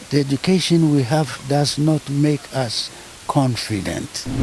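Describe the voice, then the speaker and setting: A man's fairly high-pitched voice comes through with noticeable noise in the background. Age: 80s+. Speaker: retired lecturer, professor. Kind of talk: interview answer.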